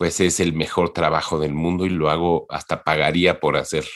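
On a very clean recording with a silent background, a man speaks in a very deep, low voice with fairly even intonation. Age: 50s. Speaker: entertainment industry professional. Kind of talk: interview. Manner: halting, many repetitions.

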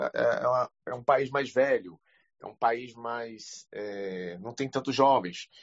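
A man talks at a very slow pace with a medium pitch. His loudness swings widely. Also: ordinary pitch variation. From Brazil, Recife. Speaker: audience member asking question. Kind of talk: casual chat. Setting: online audio room.

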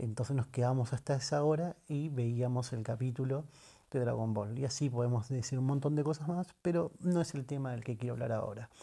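A man with a medium pitch, ordinary pitch variation and a dark, mellow, somewhat breathy tone speaks at a fairly quick pace on a very clean recording with a silent background. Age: 30s. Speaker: podcaster and audiovisual producer. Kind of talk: casual solo monologue. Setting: at home.

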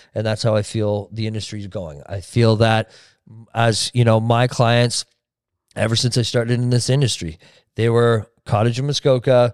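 A man with a Canadian accent talks at a moderate pace and a medium pitch, in a plain, everyday voice. His intonation stays fairly even, and the sound is dry and close with no echo. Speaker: real estate team leader. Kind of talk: casual interview chat.

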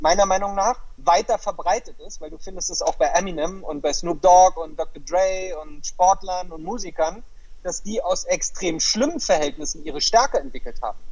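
A man talks at a moderate pace. His loudness swings widely up and down. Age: 40s. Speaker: life coach. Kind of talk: interview.

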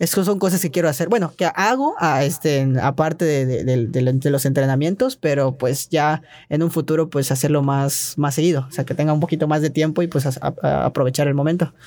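With a fairly high pitch, a man talks at a moderate pace with ordinary pitch variation and very even loudness. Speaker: trampoline gymnast. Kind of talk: casual interview. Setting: recording studio. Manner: hesitant, many fillers.

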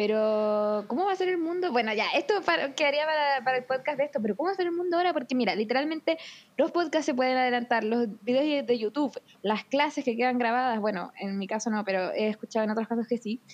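Her high-pitched voice moves at a very fast pace, and this woman's intonation is lively. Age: 20s. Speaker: podcast co-host. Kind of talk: casual chat.

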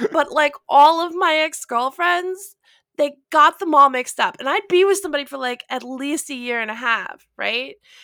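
A woman uses a raised, projected voice with a high pitch, a bright, sharp tone and lively intonation at a moderate pace, in a dry, close sound with no echo. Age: 40s. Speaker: lay theologian. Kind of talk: casual chat.

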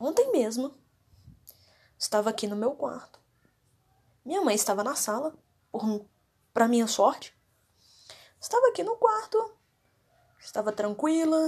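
Speaking fairly slowly with long, frequent pauses, a woman's high-pitched voice moves through very wide pitch swings. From Minas Gerais, Brazil (Contagem). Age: 20s. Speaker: podcast host, university student with panic disorder. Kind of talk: personal monologue, testimony. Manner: casual, hesitant with fillers.

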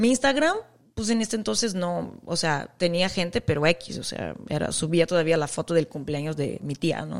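A woman talks at a fairly slow pace in a normal speaking voice. Her pitch sits fairly low. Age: 40s. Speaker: podcast host, mom influencer and former model. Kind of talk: casual chat. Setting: remote call from home.

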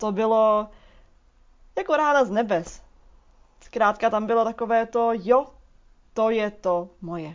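At a fairly slow pace with long, frequent pauses, a woman speaks at a fairly high pitch with ordinary pitch variation. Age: 20s. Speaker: movement coach and dance therapist. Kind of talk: solo podcast monologue.

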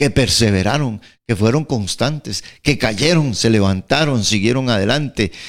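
A man speaks in a normal speaking voice at a medium pitch. His pitch variation is ordinary. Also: very clean recording, silent background. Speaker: pastor. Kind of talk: radio Bible teaching chat. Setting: radio studio.

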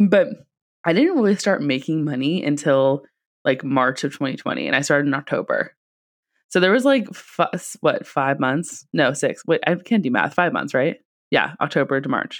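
With an American accent, a woman speaks at a moderate pace in a very deep, low voice. Her intonation is lively, and the background is quiet. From California, Silicon Valley. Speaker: marketing business owner, podcast co-host. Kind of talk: casual chat.

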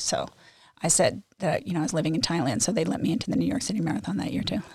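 A woman speaks at a very fast pace in a dry, close sound with no echo. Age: 60s. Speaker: amateur runner. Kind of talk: interview.

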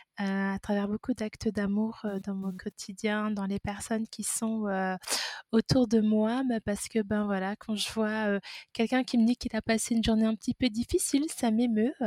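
In a dry, close sound with no echo, a woman with a fairly high pitch and a dark, mellow tone speaks at a moderate pace with fairly even intonation. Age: 30s. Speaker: midwife. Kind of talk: testimony.

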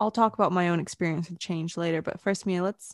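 A woman with a medium-pitched voice talks at a very fast pace on a very clean recording with a silent background. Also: dry, close sound with no echo. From Britain, raised in Vancouver, Canada. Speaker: podcast co-host. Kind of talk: casual chat.

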